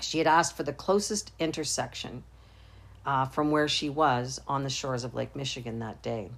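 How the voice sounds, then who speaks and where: A woman's very deep, low voice with vocal fry, ordinary pitch variation and a moderate pace. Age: 60s. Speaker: podcast host and marriage and family therapist. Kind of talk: reflective monologue. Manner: hesitant, with frequent fillers.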